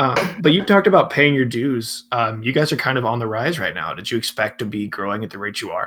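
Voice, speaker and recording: An American man speaks at a very fast pace with hardly any pauses. His medium-pitched voice has lively intonation. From Atlanta, US South. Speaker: podcast host. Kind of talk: interview.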